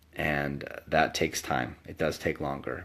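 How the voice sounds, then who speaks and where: Against a quiet background, a man speaks with vocal fry. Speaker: author with ADHD, medical school graduate. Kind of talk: casual talk to camera. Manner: halting, many fillers.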